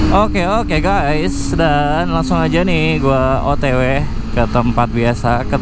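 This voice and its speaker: Loud background noise fills a dry sound with no echo. A man speaks at a very slow pace. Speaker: motovlogger. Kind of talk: casual vlog chat. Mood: cheerful, laughing. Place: motorbike.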